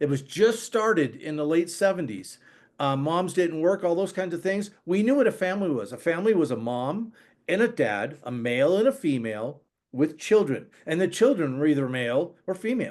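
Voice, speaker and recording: A man with an American accent speaks at a moderate pace against a quiet background. His high pitch moves in very wide swings. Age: 60s. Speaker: regenerative agriculture expert, podcast guest. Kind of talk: podcast interview, casual conversation. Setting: podcast recording. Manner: conversational, with frequent false starts and repetitions.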